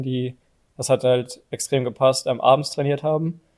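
At a moderate pace, a man speaks in a medium pitch. His intonation is monotone and flat. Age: 30s. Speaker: professional footballer. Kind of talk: casual interview. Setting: stadium. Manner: hesitant, many fillers.

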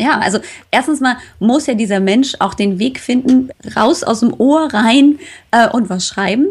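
Animated in tone, a woman speaks at a moderate pace with a high pitch and lively intonation. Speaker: health podcaster. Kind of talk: casual interview.

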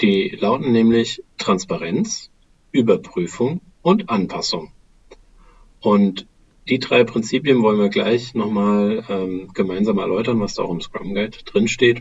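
Speaking at a very slow pace, a man holds a medium pitch with ordinary pitch variation. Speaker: podcast co-host on agile work methods. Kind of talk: casual discussion. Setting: remote recording over a phone call. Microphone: recording on a laptop with headphones.

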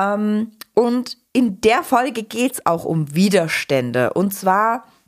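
Very clean audio with total background silence behind a female voice. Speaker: podcast host and agile coach. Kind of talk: casual podcast conversation. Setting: office.

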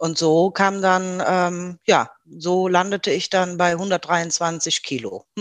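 A woman with a fairly low pitch speaks at a very slow pace in a monotone, flat intonation with hardly any pauses. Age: 50s. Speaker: former weight-loss program participant, administrative worker. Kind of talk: interview, personal testimony. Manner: hesitant, many filler sounds.

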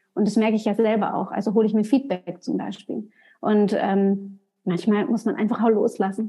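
A somewhat breathy woman's voice, fairly high in pitch, with a dark, mellow tone and a moderate pace. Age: 30s. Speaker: hairdresser and salon trainer. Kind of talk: casual chat. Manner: animated.

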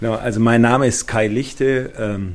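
With a plain, everyday voice, a man talks at a moderate pace with fairly even intonation. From Schwenningen, Baden-Württemberg. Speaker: senior pediatric physician. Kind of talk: interview.

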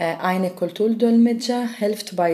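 In an Arabic accent, the voice has a dark, mellow tone and lively intonation at a very slow pace. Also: woman. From Syria, Damascus. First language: Arabic (speaking German). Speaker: volunteer cultural mediator. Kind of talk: interview. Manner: halting.

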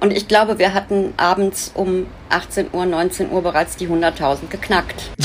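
Fairly slow and flat in intonation, a woman speaks at a medium pitch amid noticeable background noise. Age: 60s. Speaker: activist fundraiser, businesswoman. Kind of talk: interview.

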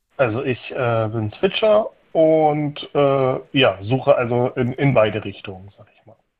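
At a fairly slow pace, a man speaks at medium pitch with lively intonation. His loudness swings widely. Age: 30s. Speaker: caller. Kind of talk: casual chat. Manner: halting.

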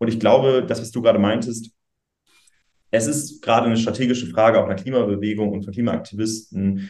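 A man with a medium-pitched voice speaks with fairly even intonation in a normal speaking voice. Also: fairly quick pace. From northern Germany, Schleswig-Holstein. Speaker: youth political spokesperson. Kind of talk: interview.

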